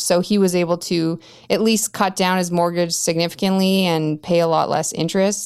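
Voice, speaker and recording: An ordinary speaking voice with a Canadian accent, fairly even intonation and a moderate pace, on a very clean recording with a silent background. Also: woman. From Canada, Yukon (Whitehorse). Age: 30s. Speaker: early retiree sharing financial independence journey. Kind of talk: casual interview.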